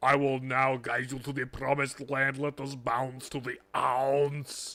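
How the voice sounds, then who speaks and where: Using a put-on character voice, a man speaks at medium pitch and a fairly slow pace. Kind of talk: slangy, playful.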